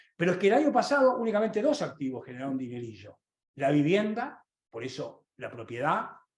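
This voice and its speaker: With audible room echo, a man speaks at a high pitch and fairly quick pace, his pitch swinging very widely. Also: big swings in loudness. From Argentina. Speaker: economist. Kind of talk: lecture. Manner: fast; animated.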